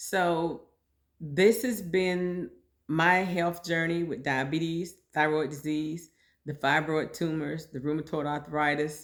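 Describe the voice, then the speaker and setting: A woman talks at a fairly slow pace in a normal speaking voice, fairly low in pitch. Her intonation is fairly even, and the recording is very clean with a silent background. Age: 60s. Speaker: podcast host sharing personal health story. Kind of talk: personal monologue podcast. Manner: conversational, informal.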